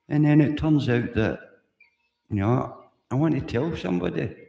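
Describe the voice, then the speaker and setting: A man with a Glaswegian accent and a dark, mellow tone speaks at a moderate pace, with audible room echo. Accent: Glaswegian Scots. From Scotland, Glasgow. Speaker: livestreamer. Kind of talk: casual live stream monologue. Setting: live stream. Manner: rambling, repetitive.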